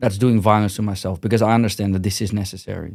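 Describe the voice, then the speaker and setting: A man with a Dutch accent, fairly low-pitched, talking very fast with fairly even intonation, on a very clean recording with a silent background. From Netherlands. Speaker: gym owner and martial arts manager. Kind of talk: podcast interview. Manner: blunt, direct.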